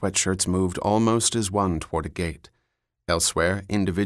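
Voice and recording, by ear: Someone reads aloud in a natural voice. Little else can be heard, as the background is quiet.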